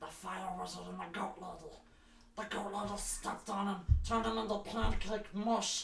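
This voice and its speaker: A put-on character voice at a fairly high pitch comes through over clear background noise. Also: moderate pace. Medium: actual play. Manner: nervous, rambling.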